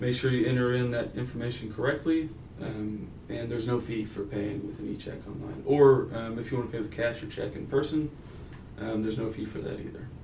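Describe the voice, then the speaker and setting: In a room with audible echo, a man with a medium pitch speaks at a fairly quick pace with fairly even intonation. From Texas, Denton. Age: 20s. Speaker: university customer service manager and graduate student. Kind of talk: interview. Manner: casual, frequent filler 'um'.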